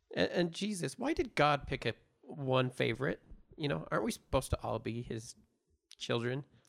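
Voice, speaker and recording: This man speaks at a moderate pace in an American accent, at medium pitch with vocal fry. His pitch swings very widely. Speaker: producer and co-host. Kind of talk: casual chat, podcast.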